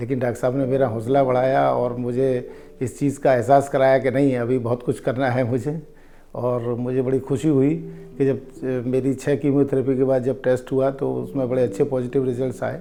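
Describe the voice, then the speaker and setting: A man talks in a medium pitch with monotone, flat intonation. Music is in the background. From Lucknow, northern India. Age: 60s. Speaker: cancer patient. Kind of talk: testimony. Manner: halting.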